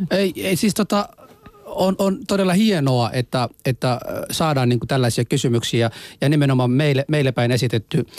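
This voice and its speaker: With a non-native accent, a man speaks at a moderate pace with lively intonation and very even loudness, in a dry, close sound with no echo. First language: not Finnish (speaking Finnish). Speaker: radio host. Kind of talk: casual chat.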